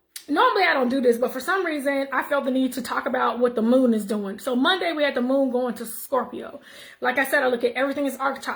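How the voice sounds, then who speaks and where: A woman with a high pitch talks at a fairly quick pace, showing ordinary pitch variation. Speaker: numerology and wellness vlogger. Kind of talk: casual monologue vlog. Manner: fast.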